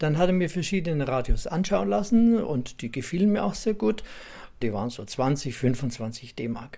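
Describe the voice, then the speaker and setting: This man's voice has a dark, mellow tone and sits at a fairly high pitch. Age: 80s+. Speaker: radio collector and museum owner. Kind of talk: interview recollection.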